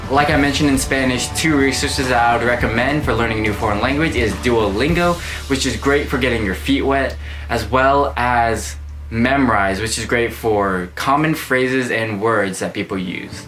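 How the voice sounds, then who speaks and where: A man of medium pitch sounds upbeat, using lively intonation at a moderate pace, with noticeable background noise and audible room echo. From United States. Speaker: lifestyle YouTuber. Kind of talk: vlog tutorial. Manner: casual and upbeat.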